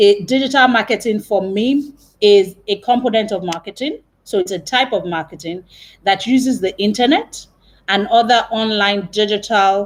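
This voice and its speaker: Ordinary pitch variation marks an ordinary speaking voice that proceeds at a moderate pace. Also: woman. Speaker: marketing trainer. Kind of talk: webinar lecture. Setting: live video stream from work.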